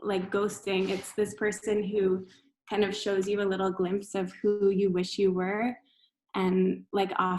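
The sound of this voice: An unforced reading voice comes over a quiet background.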